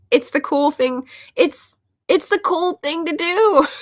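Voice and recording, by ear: In a squeaky, put-on character voice, a woman speaks at an extremely high pitch and a fairly slow pace.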